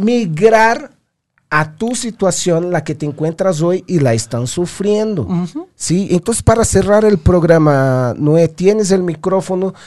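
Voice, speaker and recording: Animated and lively in intonation, a man with a high-pitched voice speaks at a fairly slow pace. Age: 30s. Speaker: podcast host and fitness instructor. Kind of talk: casual interview.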